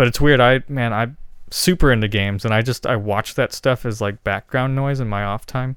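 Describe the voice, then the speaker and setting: A man speaks in a plain, everyday voice at medium pitch. His pace is moderate, with ordinary pitch variation. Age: 30s. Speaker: musician. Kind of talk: casual chat. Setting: studio.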